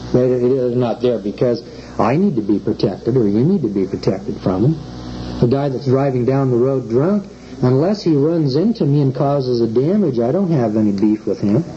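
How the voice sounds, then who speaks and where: With an American accent, a man at a medium pitch talks at a moderate pace with lively intonation and very even loudness, against noticeable background noise. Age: 40s. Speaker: common law lecturer. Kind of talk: lecture. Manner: conversational, rhetorical questions.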